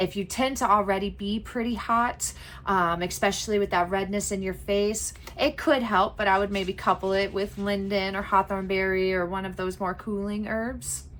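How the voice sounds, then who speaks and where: A woman speaks at a medium pitch and a moderate pace. Her intonation is fairly even, and audible room echo surrounds her. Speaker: herbalism teacher. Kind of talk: lecture.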